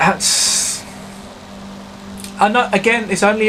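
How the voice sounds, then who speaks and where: Through noticeable background noise, a man with a British accent speaks at a fairly slow pace. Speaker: gaming YouTuber. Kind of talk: live gameplay commentary. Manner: hesitant, many fillers.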